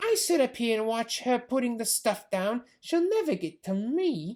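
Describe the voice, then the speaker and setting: A woman uses a put-on character voice that is high and shrill, speaking at a moderate pace. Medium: read story.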